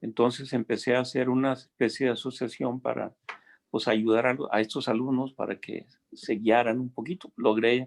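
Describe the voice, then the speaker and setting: A man at a moderate pace, medium in pitch, with monotone, flat intonation. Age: 60s. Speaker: retired engineering teacher and science enthusiast. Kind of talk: casual chat. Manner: halting.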